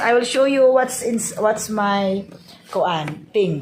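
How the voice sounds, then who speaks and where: With a Visayan Filipino accent, a woman speaks very slowly in a fairly high voice with lively intonation. Noticeable background noise and audible room echo come through. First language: Cebuano (Bisaya). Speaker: vlogger. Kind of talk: casual vlog, unboxing. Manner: halting, many fillers.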